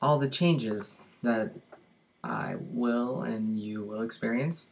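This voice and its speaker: Audible room echo surrounds a man with an American accent. He speaks at a very slow pace with medium pitch and ordinary pitch variation. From US Midwest, Indiana. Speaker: vlogger. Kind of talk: casual Q&A vlog. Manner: hesitant, many fillers.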